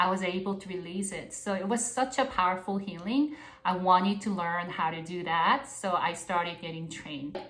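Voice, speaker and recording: A woman with a Korean accent speaks at a moderate pace and medium pitch, with ordinary pitch variation and hardly any pauses. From South Korea. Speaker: spiritual mentor. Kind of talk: casual monologue.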